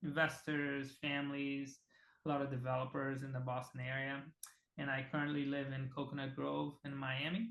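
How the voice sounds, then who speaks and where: In a Portuguese accent, a man speaks at a moderate pace with a fairly high pitch and monotone, flat intonation. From Brazil (Rondônia, Amazon region). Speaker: real estate team CEO. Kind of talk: casual interview.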